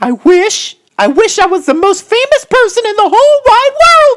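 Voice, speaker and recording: A squeaky, put-on character voice at a moderate pace. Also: woman, extremely high pitch for a woman. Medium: read story. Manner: dramatic, whiny.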